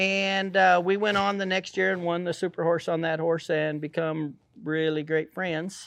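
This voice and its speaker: At a moderate pace, a man with a rural western US accent talks at a high pitch, his intonation monotone and flat. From Colorado, US. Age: 60s. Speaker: rodeo cowboy. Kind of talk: casual interview.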